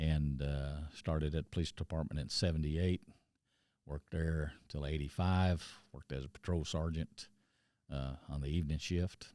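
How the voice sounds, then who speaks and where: A man's very deep, low, dark and mellow voice with an American accent, fairly even intonation and a moderate pace, on a very clean recording with a silent background. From Texas Panhandle, Amarillo. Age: 60s. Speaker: justice of the peace, former police officer. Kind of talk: interview. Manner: halting, many fillers.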